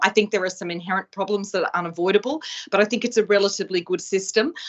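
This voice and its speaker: Speaking very fast, a woman with an Australian accent shows ordinary pitch variation. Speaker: law professor. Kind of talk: lecture. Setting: video call.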